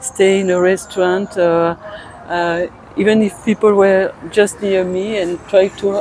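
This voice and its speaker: A woman's medium-pitched voice in a French accent, fairly slow and fairly even in intonation, over noticeable background noise. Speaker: tourist. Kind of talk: street interview. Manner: halting.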